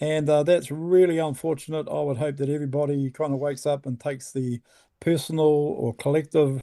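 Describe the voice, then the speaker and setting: A man with a New Zealand accent speaks at a fairly quick pace, his fairly high voice dark and mellow, recorded dry and close with no echo. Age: 60s. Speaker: environmental activist. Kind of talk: interview. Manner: halting, many fillers and repeats.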